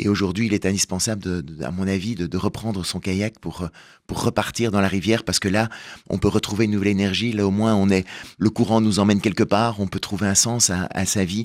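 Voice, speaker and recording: On a very clean recording with a silent background, a man with a fairly low pitch and an unremarkable speaking voice talks at a fairly quick pace with fairly even intonation. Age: 50s. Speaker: author and stage performer. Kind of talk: radio interview.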